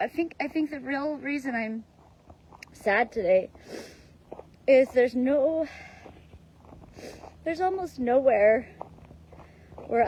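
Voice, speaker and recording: A woman speaks with a high pitch and ordinary pitch variation. Noticeable background noise runs under her voice. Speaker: vlogger. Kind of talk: personal vlog monologue. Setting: outdoors while running. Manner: halting, many fillers.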